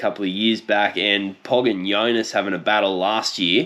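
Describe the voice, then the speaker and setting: A man speaks with an Australian accent. His tone is relaxed and his pace moderate. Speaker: cycling YouTuber. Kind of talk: casual commentary video. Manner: casual, relaxed.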